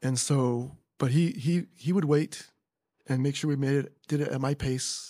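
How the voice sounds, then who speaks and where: With an American accent, a man speaks at a moderate pace in a dark, mellow tone, his fairly high pitch held to fairly even intonation. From California, Carpinteria. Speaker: retired teacher. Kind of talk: casual chat.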